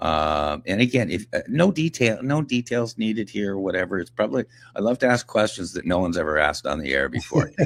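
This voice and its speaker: Very fast and full of vocal fry, a man's voice jumps through very wide pitch swings. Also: fairly low pitch for a man. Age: 60s. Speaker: radio host and author. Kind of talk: radio interview.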